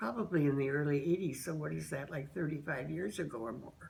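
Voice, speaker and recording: Her voice is very deep and low, with vocal fry. The woman is heard with audible room echo. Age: 80s+. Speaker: interviewee, member of an end-of-life choice group. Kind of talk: testimony. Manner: halting.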